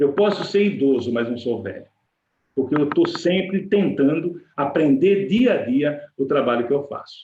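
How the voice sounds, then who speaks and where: A man with an ordinary speaking voice, fairly high in pitch, with lively intonation. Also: fairly slow pace. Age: 60s. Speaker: workplace safety expert. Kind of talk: webinar presentation.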